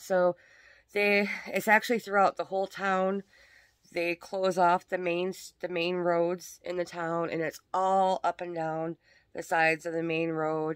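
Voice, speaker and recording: A woman speaks in a monotone with flat intonation and a fairly low pitch. The sound is dry, with no echo and a quiet background. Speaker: crafter vlogger. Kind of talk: casual vlog chat. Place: home room. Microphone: phone near.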